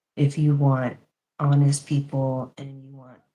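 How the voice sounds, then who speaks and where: A soft-spoken woman has a very deep, low pitch. Her tone is dark and mellow. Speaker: reiki practitioner, podcast co-host. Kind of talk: casual podcast chat. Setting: live stream.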